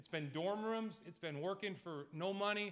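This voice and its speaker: A man speaks with an American accent and lively intonation. His tone is bright and sharp over a quiet background. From eastern Massachusetts (Hull); Massachusetts. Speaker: college baseball head coach. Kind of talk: press conference speech. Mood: emotional, grateful. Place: meeting room. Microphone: podium.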